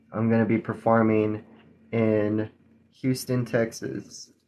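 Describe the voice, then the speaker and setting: A man's flat, monotone voice at a very slow pace over light background noise. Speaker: magician streamer. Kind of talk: casual livestream chat. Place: home room. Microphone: phone near.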